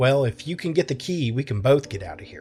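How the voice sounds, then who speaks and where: Putting on a character voice, a man speaks at a fairly quick pace with medium pitch, lively intonation and big swings in loudness, while faint music plays in the background. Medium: read story.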